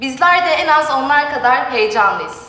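A raised, projected voice speaks at a moderate pace. Room echo is audible. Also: woman. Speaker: school teacher or host. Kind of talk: ceremony speech. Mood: warm, welcoming. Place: hall.

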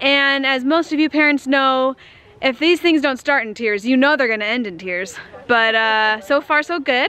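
At a moderate pace, a woman speaks with a high pitch, the sound dry with no echo. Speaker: family vlogger. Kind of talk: casual vlog chat. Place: street. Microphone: phone near.

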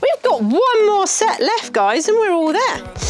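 A woman's voice over clear background music. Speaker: fitness instructor. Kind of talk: workout instruction. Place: studio.

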